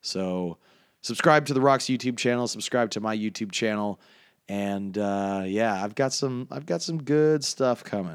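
This man has an ordinary speaking voice, fairly low in pitch, with lively intonation at a fairly slow pace. The recording is very clean with a silent background. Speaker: podcast host and wrestling commentator. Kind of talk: casual interview chat.

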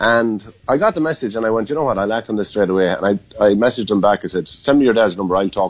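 A man's very fast speech in a western Irish accent, at a fairly low pitch with ordinary pitch variation. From Ireland, County Mayo. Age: 40s. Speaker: former Gaelic football player. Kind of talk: interview.

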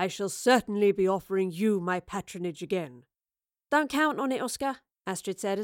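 With quiet surroundings, a passage is read aloud in a natural voice.

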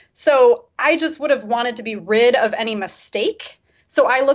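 With lively intonation, a woman speaks at a moderate pace in a plain, everyday voice. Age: 30s. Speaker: libertarian YouTuber. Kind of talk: casual interview chat.

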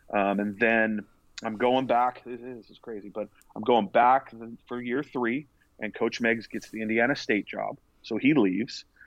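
A man's normal speaking voice with an American accent, fairly low in pitch, at a moderate pace with fairly even intonation. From California, Central Coast. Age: 40s. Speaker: college baseball pitching coach. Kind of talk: casual interview. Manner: repetitive filler-heavy.

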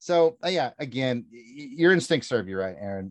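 A man with a plain, everyday voice speaks at a moderate pace with lively intonation. The recording is dry and close with no echo, and the background is quiet. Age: 40s. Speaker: pop culture fan guest. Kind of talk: casual chat.

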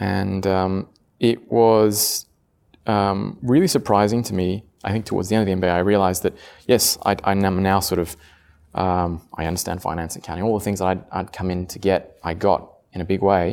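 A man with a very deep, low voice speaks at a fairly quick pace with fairly even intonation, on a very clean recording with a silent background. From France (Paris), half Italian half Australian. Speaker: business school alumnus, healthcare manager. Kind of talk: casual interview.

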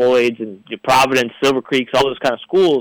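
This man talks very fast with a Midwestern American accent, at a medium pitch and with fairly even intonation. The sound is dry and close, with no echo. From northern Indiana, Crown Point. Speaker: sports editor, journalist. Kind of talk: radio sports talk. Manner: hesitant, many fillers.

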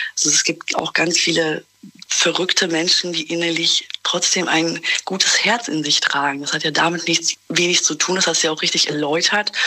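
A woman's fairly low voice at a moderate pace, with fairly even intonation and noticeable background noise. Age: 20s. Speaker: caller. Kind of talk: phone call-in chat.

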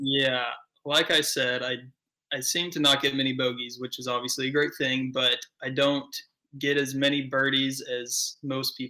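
A man with an American accent speaks at a moderate pace and a medium pitch. His tone is bright and sharp, his intonation monotone and flat. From Georgia, US. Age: 20s. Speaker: professional disc golfer. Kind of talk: interview.

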